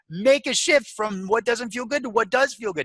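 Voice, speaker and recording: A man with an extremely high pitch uses a raised, projected voice, a bright, sharp, animated and enthusiastic tone, ordinary pitch variation and a moderate pace, in a dry, close sound with no echo. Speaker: motivational speaker and life coach. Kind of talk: podcast interview. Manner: enthusiastic and emphatic.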